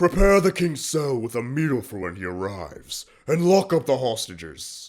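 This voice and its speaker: This man puts on a character voice at a medium pitch. He moves at a moderate pace with very wide pitch swings. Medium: machinima. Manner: formal, commanding.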